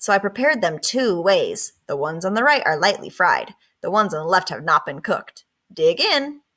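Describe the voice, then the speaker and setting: Using a put-on character voice, a woman talks at a fairly quick pace and medium pitch. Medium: read story.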